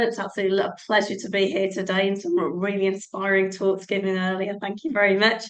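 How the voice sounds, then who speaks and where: The speech moves at a fairly quick pace. There is audible room echo. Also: woman. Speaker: nurse. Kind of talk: conference talk. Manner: hesitant with fillers.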